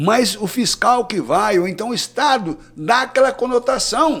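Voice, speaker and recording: This man's voice sits at an extremely high pitch. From Brazil, southern Minas Gerais. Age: 60s. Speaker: cattle rancher and veterinarian. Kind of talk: podcast interview.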